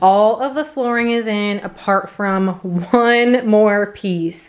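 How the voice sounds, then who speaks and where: The intonation is fairly even. The speaker is a woman. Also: quiet background. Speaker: lifestyle vlogger. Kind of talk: casual vlog chat. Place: home room. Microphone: phone near.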